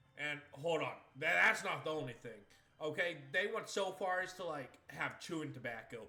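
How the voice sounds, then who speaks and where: A man with an American accent talks at a moderate pace in a fairly high, bright, sharp voice, animated and with lively intonation. Audible room echo surrounds him. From Maine, US. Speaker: video game streamer. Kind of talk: casual chat. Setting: live stream.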